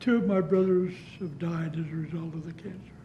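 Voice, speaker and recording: A man with an American accent talks at a fairly slow pace in a high pitch and a dark, mellow tone. His intonation is monotone and flat, and audible room echo surrounds it. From US West, southeastern Utah. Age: 80s+. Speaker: downwinder and author. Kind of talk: oral history interview. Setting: public library.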